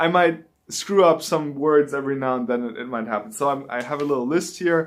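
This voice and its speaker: A man in a German accent, fairly high in pitch, fairly quick, with ordinary pitch variation. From Germany. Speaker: YouTuber, manga reviewer. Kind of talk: casual vlog talk to camera. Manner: halting, with fillers and restarts.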